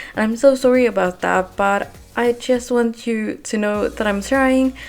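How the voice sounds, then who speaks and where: A woman with a non-native accent, fairly high in pitch, at a fairly slow pace with fairly even intonation. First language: not English. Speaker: gaming video creator. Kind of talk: voiceover monologue. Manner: halting, with pauses.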